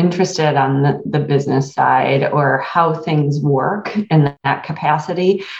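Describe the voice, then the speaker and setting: A woman with an American accent talks at a fairly slow pace in a very deep, low pitch with ordinary pitch variation. Noticeable background noise is present. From rural Michigan, US. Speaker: HR consulting firm owner. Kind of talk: interview.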